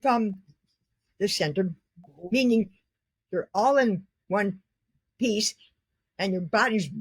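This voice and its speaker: At a very slow pace, a somewhat breathy woman with an American accent speaks in a dry, close sound with no echo. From Cleveland, Ohio. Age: 80s+. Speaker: artist and former ballet dancer. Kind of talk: interview answer.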